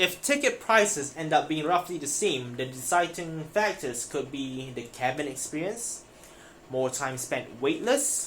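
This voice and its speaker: A non-native accent at a moderate pace, with noticeable background noise. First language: not English. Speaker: finance news YouTuber. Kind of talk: reading news aloud with commentary. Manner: casual, self-interrupting.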